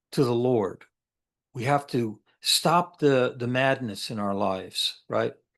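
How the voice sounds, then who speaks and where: Against a quiet background, a man speaks very slowly at a medium pitch with ordinary pitch variation. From upstate New York. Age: 60s. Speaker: military veteran. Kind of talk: interview. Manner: halting.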